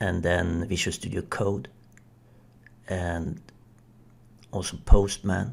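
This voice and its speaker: Speaking very slowly with long, frequent pauses, a man with a non-native accent uses a very deep, low voice, fairly even intonation and vocal fry. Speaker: software developer. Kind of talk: video review commentary.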